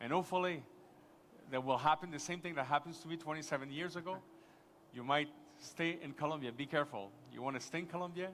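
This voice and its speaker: A man with a Quebec accent talks at a very fast pace in a fairly high voice. Long, frequent pauses break up his speech. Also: ordinary pitch variation. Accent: French-Canadian accent in English. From Quebec, Montreal. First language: French. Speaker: tourism official, conference panelist. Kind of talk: conference panel discussion. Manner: halting, many false starts.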